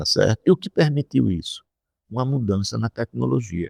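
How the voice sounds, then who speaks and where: Background silence surrounds a very clean recording. The sound is dry and close, without echo. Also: man. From Brazil, Rio Grande do Norte (Areia Branca). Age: 60s. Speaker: economics professor. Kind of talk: interview. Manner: halting, with frequent repetitions.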